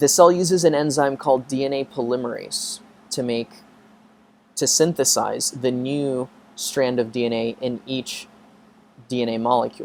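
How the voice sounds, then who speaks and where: Speaking at a moderate pace with long, frequent pauses, a man uses a medium pitch and ordinary pitch variation. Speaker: biology professor. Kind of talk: lecture. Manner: casual, filler-heavy.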